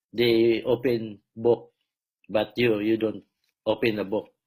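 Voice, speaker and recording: A man at a very slow pace, with a medium-pitched voice in a Filipino accent. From Philippines. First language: Filipino language. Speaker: self-proclaimed preacher and healer. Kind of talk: religious monologue. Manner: halting, many fillers.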